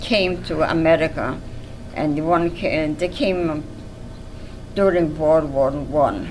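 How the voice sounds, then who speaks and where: Speech at a very slow pace comes through with audible room echo and noticeable background noise. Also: woman. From Poland. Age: 80s+. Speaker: Holocaust survivor. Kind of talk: testimony. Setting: museum interview. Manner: halting.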